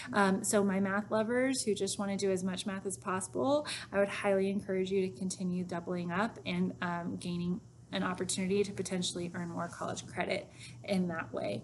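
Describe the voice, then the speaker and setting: Fairly quick pace, an unremarkable speaking voice, ordinary pitch variation. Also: woman, medium pitch for a woman. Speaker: high school math teacher. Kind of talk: recorded informational talk to students.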